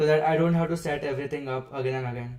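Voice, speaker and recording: With an unremarkable speaking voice, a man talks at a fairly high pitch and with fairly even intonation. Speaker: software developer streamer. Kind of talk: live coding stream.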